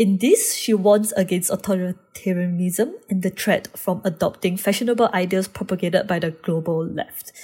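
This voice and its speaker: Over music in the background, a woman of medium pitch talks at a moderate pace with fairly even intonation and hardly any pauses. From Singapore. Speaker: student researcher. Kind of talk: casual discussion.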